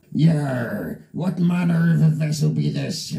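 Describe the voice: The put-on character voice moves along fairly slowly. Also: man, fairly high pitch for a man.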